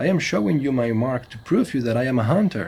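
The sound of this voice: A man's put-on character voice, medium in pitch with big pitch swings, fairly quick, slightly mellow and slightly husky, with vocal fry.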